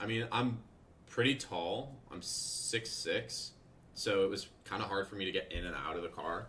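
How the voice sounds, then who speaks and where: A man speaks in a normal speaking voice at a medium pitch, with ordinary pitch variation and a moderate pace. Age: 20s. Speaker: day trader and trading mentor. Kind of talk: livestream Q&A. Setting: live stream. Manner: casual, conversational.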